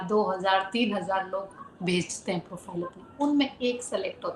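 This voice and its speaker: Noticeable noise sits behind the woman's voice. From Rajasthan, Churu. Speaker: model and actress. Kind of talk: interview. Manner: casual, Hindi-English code-switching.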